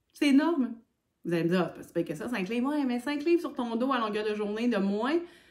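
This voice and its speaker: A woman with a fairly high pitch talks at a moderate tempo. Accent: Quebec. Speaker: hiking vlogger. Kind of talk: casual vlog talk.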